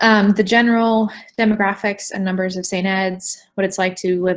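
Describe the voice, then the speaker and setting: On a very clean recording with a silent background, a woman uses a normal speaking voice at medium pitch, talking at a moderate pace with fairly even intonation. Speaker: university admissions representative. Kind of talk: admissions presentation.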